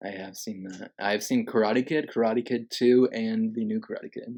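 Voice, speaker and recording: In an ordinary speaking voice, a man talks at a moderate pace and medium pitch, with fairly even intonation and big swings in loudness. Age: 20s. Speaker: podcast host, film reviewer. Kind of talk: casual chat.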